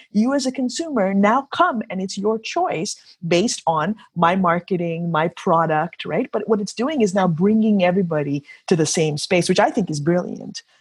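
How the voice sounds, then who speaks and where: Somewhat breathy and medium-pitched, a woman speaks at a moderate pace with lively intonation. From Kenya. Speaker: entrepreneur and professional golfer. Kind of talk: interview. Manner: animated.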